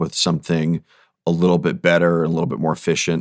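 Booming and very deep in pitch, a man's voice comes across dry and close with no echo. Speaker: in-ear monitor company marketing lead, former touring sound engineer. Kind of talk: podcast interview.

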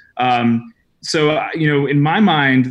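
Delivered at a very slow pace in an American accent, the speech has ordinary pitch variation. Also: man. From New England, US. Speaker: education entrepreneur and former teacher. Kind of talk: interview conversation.

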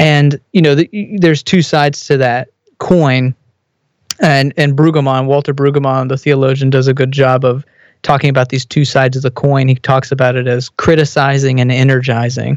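In a normal speaking voice, a man with an American accent talks at medium pitch and a moderate pace with fairly even intonation. His loudness stays very even, and the sound is dry and close with no echo. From Texas. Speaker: business consultant and theologian. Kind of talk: casual interview.

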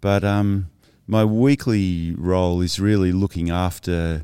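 Recorded very cleanly against a silent background, a man with an Australian accent speaks very slowly in a very deep, low voice with a dark, mellow tone and fairly even intonation. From Cornwall, England, raised in Sydney from childhood. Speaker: surf ministry leader. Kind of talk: casual interview. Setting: studio video podcast.

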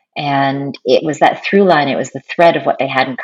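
Over music in the background, a woman speaks at a fairly quick pace with a very deep, low pitch. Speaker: university professor and author. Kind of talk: interview conversation. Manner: calm, measured, non-strident.

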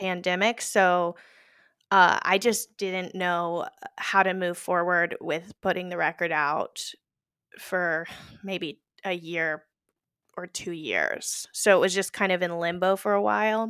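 A bright, sharp voice speaks very slowly with an American accent and ordinary pitch variation. The recording is very clean, with a silent background. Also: woman, medium pitch for a woman. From Texas (Houston). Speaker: singer-songwriter. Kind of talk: interview. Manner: halting, many fillers.

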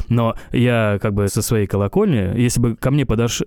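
On a very clean recording with a silent background, a man speaks at a medium pitch with a dark, mellow tone. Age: 30s. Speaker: podcast host. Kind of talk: casual chat.

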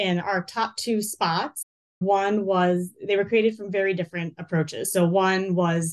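A woman with an American accent talks in an unremarkable speaking voice, at medium pitch and with fairly even intonation. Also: quiet background. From North Carolina. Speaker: marketing manager. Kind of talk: interview.

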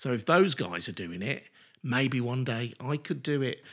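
On a very clean recording with a silent background, a man talks at a moderate pace. His medium-pitched voice has a bright, sharp tone and ordinary pitch variation. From Birmingham, England. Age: 50s. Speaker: radio broadcaster. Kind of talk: casual interview. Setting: kitchen at home.

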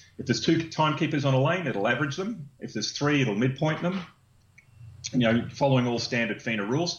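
A man with a fairly high pitch talks at a very fast pace. His voice is somewhat breathy, with ordinary pitch variation. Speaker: inventor and business founder. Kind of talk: interview. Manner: halting.

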